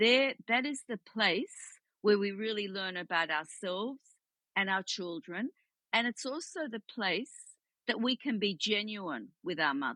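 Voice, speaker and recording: A woman with an Australian accent at a medium pitch, fairly slow and lively in intonation, bright and sharp in tone, with a dry, close sound with no echo over a quiet background. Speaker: psychotherapist. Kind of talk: interview.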